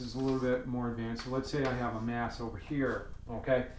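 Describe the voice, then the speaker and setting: At a very fast pace, a man talks in a medium pitch amid noticeable background noise and audible room echo. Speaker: physics teacher. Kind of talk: tutorial. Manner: casual, with fillers.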